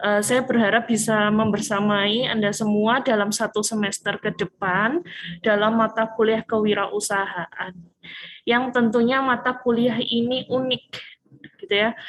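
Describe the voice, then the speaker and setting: A woman speaks with a strong Malang accent at a fairly slow pace. Her pitch is fairly high and her loudness very even. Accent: strong Malang Javanese. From Indonesia, Malang (East Java). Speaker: university lecturer. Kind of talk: lecture. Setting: video call. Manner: casual, with many fillers.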